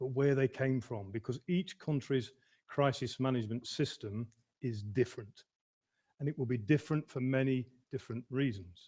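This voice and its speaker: Medium-pitched male voice in a Midlands accent, dark and mellow in tone, somewhat breathy, at a moderate pace with ordinary pitch variation. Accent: Midlands English, northern short u and a. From English Midlands. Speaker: emergency management consultant. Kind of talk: lecture. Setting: online lecture.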